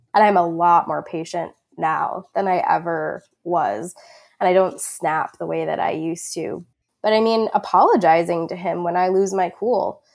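In a very clean recording with a silent background, a woman talks with ordinary pitch variation in a normal speaking voice. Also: fairly low pitch for a woman, moderate pace. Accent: American. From Long Island, New York. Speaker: hunter education program manager. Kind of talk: casual chat.

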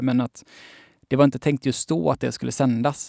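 Recorded with a dry, close sound and no echo, a man with an unremarkable speaking voice and a medium pitch talks at a fairly quick pace with fairly even intonation. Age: 20s. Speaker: journalist and author. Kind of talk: casual interview chat.

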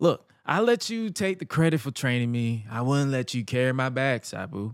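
With lively intonation and a moderate pace, a man in an ordinary speaking voice is heard on a very clean recording against a silent background. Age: 20s. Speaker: podcast host. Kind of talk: wrestling promo, read aloud from a clip of an ECW segment.

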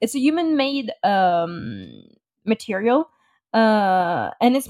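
In a Parisian accent, a woman talks at a fairly high pitch with lively intonation, in a dry, close sound with no echo. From France. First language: French. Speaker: podcast co-host, client services. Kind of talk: casual chat.

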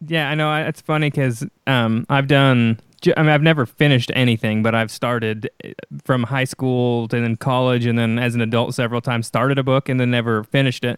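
A man with an ordinary speaking voice, medium pitch and fairly even intonation, at a fairly quick pace, in a dry, close sound with no echo. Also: very clean recording, silent background. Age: 30s. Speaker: podcast host. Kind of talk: interview.

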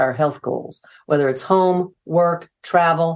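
A plain, everyday voice from a woman, fairly low in pitch, with ordinary pitch variation, a moderate pace and a quiet background. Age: 60s. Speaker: nurse practitioner and author. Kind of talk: casual interview chat.

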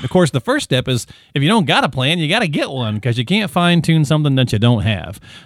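A man talks with a fairly high pitch and lively intonation. He has a plain, everyday voice. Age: 40s. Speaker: podcast host. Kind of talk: casual chat.

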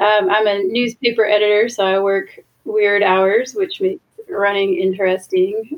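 With an American accent, a woman talks fairly slowly in an ordinary speaking voice, fairly high in pitch and lively in intonation. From Washington DC area. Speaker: ultra runner and newspaper editor. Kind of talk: casual interview.

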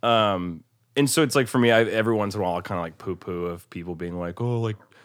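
An ordinary speaking voice from a man with an American accent, fairly low-pitched and fairly quick, ordinary pitch variation, on a very clean recording with a silent background. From US Midwest (Omaha, Nebraska). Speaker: indie rock musician and songwriter. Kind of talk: casual chat.

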